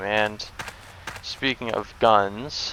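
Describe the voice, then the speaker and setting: A man's voice against noticeable background noise. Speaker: gaming YouTuber. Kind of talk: gameplay commentary. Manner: loud; casual, rambling with fillers.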